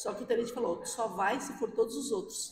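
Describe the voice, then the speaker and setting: This woman sounds animated, her pitch swinging very widely. She speaks at a fairly quick pace. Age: 60s. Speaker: firefighter. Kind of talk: interview.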